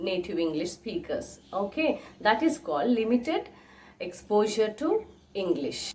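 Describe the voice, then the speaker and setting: Speaking at a fairly slow pace in an Indian accent, a woman makes very wide pitch swings over noticeable background noise. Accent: Indian English (Telugu). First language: Telugu. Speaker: English teacher / YouTuber. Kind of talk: tutorial.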